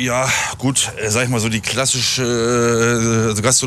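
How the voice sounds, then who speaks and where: With noticeable background noise behind him, a man talks fairly slowly at a medium pitch. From northern Germany, near Hameln. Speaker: hospitality professional. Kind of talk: casual interview. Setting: outdoors near an airport.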